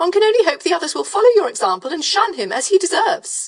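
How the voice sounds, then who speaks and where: A put-on character voice from a woman, squeaky and raspy, at an extremely high pitch, with lively intonation and a very fast pace. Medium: read story. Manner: hushed, whispering.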